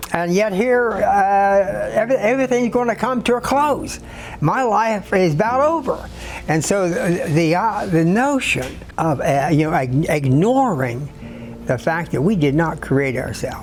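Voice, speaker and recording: A man with a high voice speaks at a fairly slow pace, his pitch swinging very widely while his loudness stays very even, with noticeable background noise. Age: 80s+. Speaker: author and priest. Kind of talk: interview answer. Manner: hesitant, halting.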